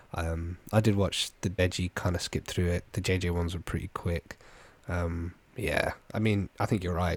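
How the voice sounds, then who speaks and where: A man's very deep, low voice with a British accent, somewhat breathy and monotone, dry and close with no echo, on a very clean recording with a silent background. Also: moderate pace. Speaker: podcast co-host. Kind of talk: casual chat.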